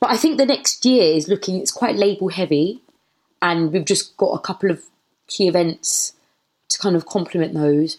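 A woman with a London accent, medium in pitch, lively in intonation, moderate in pace. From southeast London. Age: 20s. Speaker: DJ and label founder. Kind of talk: casual interview.

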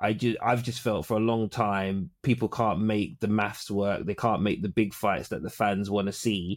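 In a London accent, a man with a fairly low pitch speaks at a fairly slow pace with fairly even intonation, the very clean recording dry and close, with no echo and a silent background. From Caribbean heritage, UK. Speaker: sports podcast co-host. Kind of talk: casual chat.

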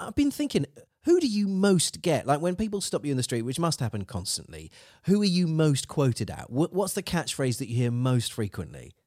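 A man with an English accent talks at a fairly quick pace, his fairly high voice swinging very widely in pitch, with a dry, close sound free of echo on a very clean recording with a silent background. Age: 40s. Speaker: podcast host. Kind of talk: casual chat.

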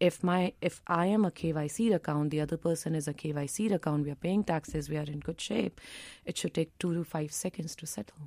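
A woman speaks at a fairly quick pace with a very deep, low pitch and a dark, mellow tone, with ordinary pitch variation. The sound is dry and close with no echo, on a very clean recording with a silent background. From India. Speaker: venture capital investor. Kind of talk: radio interview. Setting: studio.

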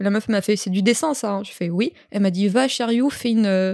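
With a dark, mellow tone, a woman speaks at a fairly quick pace on a very clean recording with a silent background and a dry, close sound with no echo. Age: 20s. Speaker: tattoo artist and barista. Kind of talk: casual chat. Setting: recording in a bed with two mics.

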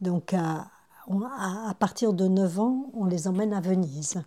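A woman's somewhat breathy voice, dark and mellow in tone, at a medium pitch with ordinary pitch variation and a very slow pace. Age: 70s. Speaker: retired midwife and grandmother. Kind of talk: interview testimony. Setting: at her son's house. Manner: hesitant, with repetitions.

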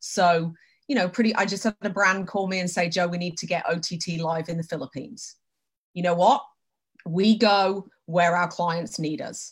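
This woman's voice is somewhat breathy. Her pitch varies in an ordinary way. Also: fairly low pitch for a woman, moderate pace. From Britain. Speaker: company president in TV advertising measurement. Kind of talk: casual interview on a live stream.

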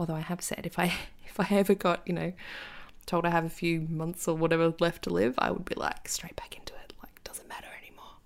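A woman with an Australian accent, fairly low in pitch, at a fairly quick pace. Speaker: podcast host, astrologer and tarot reader. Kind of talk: casual monologue. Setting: home recording with cat nearby. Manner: animated.

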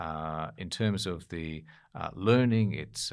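The man speaks in a very deep, low pitch. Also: very clean recording, silent background. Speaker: former diplomat. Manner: hesitant, many filler words.

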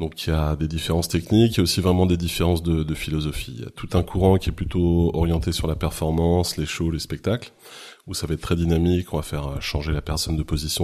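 This man's very deep, low voice moves along at a fairly quick pace. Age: 40s. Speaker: photographer and rope bondage teacher. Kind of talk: interview. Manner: halting.

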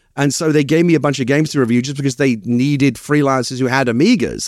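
In a very clean recording with a silent background, a man with a medium pitch and ordinary pitch variation talks at a very fast pace. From East London. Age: 50s. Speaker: screenwriter. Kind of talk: casual interview chat.

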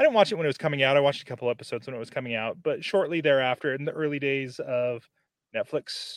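At a very fast pace, a man speaks with a fairly high pitch and ordinary pitch variation, the sound dry and close with no echo. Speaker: podcast consultant. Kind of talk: casual chat.

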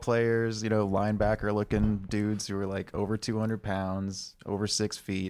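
A man with an American accent speaks at a fairly low pitch and a moderate pace. He barely pauses, on a very clean recording with a silent background. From Texas (Austin). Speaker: podcast co-host. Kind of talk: casual chat. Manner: quiet, subdued.

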